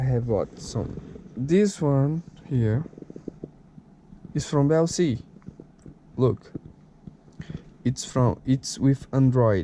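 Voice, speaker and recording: This man speaks very slowly with a Brazilian Portuguese accent and a dark, mellow tone. His pitch is medium, with ordinary variation. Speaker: tech video creator. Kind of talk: product unboxing tutorial. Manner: halting, with fillers.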